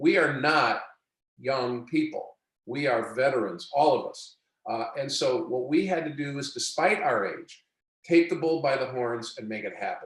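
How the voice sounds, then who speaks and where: A man's fairly high voice at a moderate pace, with ordinary pitch variation, big swings in loudness and audible room echo. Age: 70s. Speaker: sales trainer for bankers. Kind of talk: webinar presentation.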